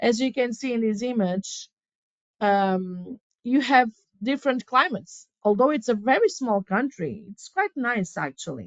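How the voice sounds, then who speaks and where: A woman's fairly high voice with a Portuguese accent, a fairly slow pace and lively intonation. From Portugal. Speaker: relocation legal and property specialist. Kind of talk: live webinar presentation. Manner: animated; halting.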